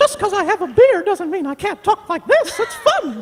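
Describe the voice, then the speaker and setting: A man's put-on character voice, extremely high in pitch, at a moderate pace. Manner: cheerful, friendly.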